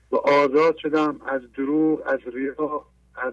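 The man's voice sits at a fairly high pitch. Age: 50s.

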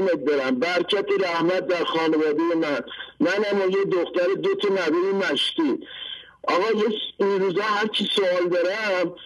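This man talks at a moderate pace in a high pitch, with ordinary pitch variation and very even loudness. Noticeable background noise runs underneath. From Iran, rural Fasham area near Tehran. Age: 50s. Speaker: caller. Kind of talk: testimony. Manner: animated.

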